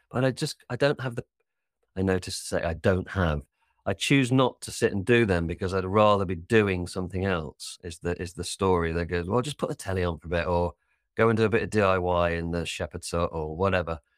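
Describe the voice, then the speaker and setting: A man's very deep, low voice in a British accent, fairly quick, with ordinary pitch variation, dry and close with no echo, on a very clean recording with a silent background. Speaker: life coach. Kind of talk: casual chat. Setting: studio. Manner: fast talker.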